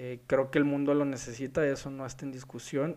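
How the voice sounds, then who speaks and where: Speaking at a moderate pace with a fairly high pitch, a man has an ordinary speaking voice against a quiet background. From Mexico, Culiacán (Sinaloa). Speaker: architect and podcast host. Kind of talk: solo podcast talk.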